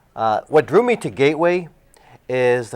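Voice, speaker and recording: Speech comes at a moderate pace in a Massachusetts accent. The recording is very clean, with a silent background. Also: man. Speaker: assistant high school principal. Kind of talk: interview.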